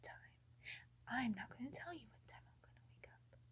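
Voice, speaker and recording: A woman is talking. She is soft-spoken. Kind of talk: acted role-play monologue. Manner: soft-spoken, bossy roleplay voice. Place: home room. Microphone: phone near.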